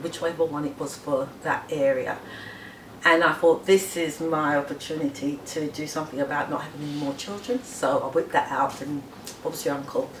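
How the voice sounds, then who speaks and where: Her voice is very deep and low, with ordinary pitch variation, and this woman keeps a moderate pace. Noticeable background noise runs behind her. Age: 60s. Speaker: massage therapist. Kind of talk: personal testimony.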